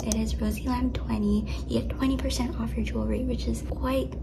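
A woman's voice over noticeable background noise. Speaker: vlogger. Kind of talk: casual vlog chat, sponsored segment. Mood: cheerful, playful. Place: home room. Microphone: phone near.

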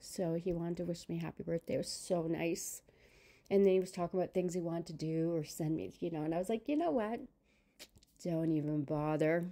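A woman with a fairly low pitch and a dark, mellow tone sounds upbeat as she speaks at a fairly quick pace. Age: 60s. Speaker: vlogger. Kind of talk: casual talk to camera. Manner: chatty, upbeat. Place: home room.

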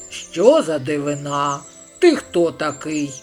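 Faint music plays in the background as someone uses a put-on character voice at a fairly slow pace. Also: man, fairly high pitch for a man. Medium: read story.

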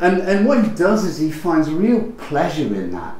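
A man speaks with a British accent. Noticeable background noise runs underneath. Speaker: literature professor. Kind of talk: academic lecture. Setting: lecture room with live audience. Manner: hesitant, with many fillers.

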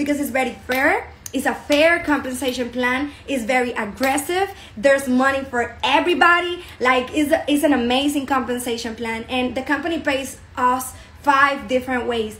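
A woman with a Spanish accent talks at a moderate pace, high in pitch, with ordinary pitch variation. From Dominican Republic. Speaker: network marketing business promoter. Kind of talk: sales pitch. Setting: online video presentation.

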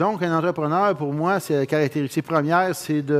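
Against a quiet background, a man talks in a fairly high voice with ordinary pitch variation. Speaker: business founder; conference speaker. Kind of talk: conference talk. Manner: halting. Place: hall. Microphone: headset.

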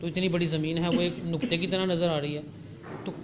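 A man's high voice, with ordinary pitch variation, carries over noticeable background noise. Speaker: speaker. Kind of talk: sermon. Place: church.

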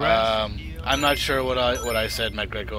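The recording is dry and has no echo. A man talks amid noticeable background noise. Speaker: game streamer. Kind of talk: casual stream chat reading viewer messages. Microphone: headset.

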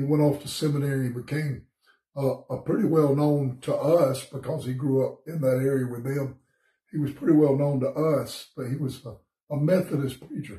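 Against a quiet background with audible room echo, a man speaks in a fairly high pitch with a dark, mellow tone, a somewhat breathy quality and fairly even intonation. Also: moderate pace. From US South, Georgia. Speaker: pastor. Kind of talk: bible study devotion. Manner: casual, conversational. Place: home room. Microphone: phone near.

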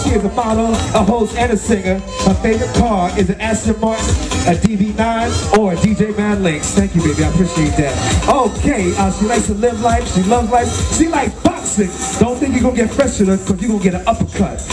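Clear music plays in the background as the speaker talks at a fairly quick pace. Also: man. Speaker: event host emcee. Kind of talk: stage announcing. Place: stage.

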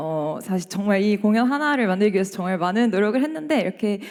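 The intonation here is lively. A woman delivers it fairly quickly. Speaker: double bassist, ensemble leader. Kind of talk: speech to audience. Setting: concert hall stage. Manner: hesitant with fillers.

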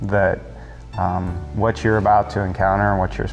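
Clear music plays in the background as a man speaks with a very deep, low pitch. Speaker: interviewee. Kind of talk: interview answer. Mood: earnest, reflective. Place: church.

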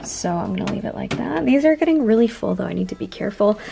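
Vocal fry and a slightly mellow tone over faint background noise. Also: woman.

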